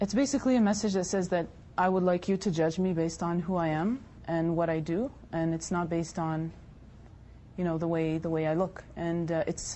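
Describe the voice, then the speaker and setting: Using a plain, everyday voice, a woman speaks at a fairly quick pace and fairly low pitch, with very even loudness and ordinary pitch variation. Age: 20s. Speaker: hijab-wearing interviewee. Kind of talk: debate discussion.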